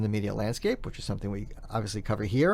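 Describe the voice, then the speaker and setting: This is a man talking. He has a New York accent. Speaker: podcast host, PR content strategist. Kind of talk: podcast interview.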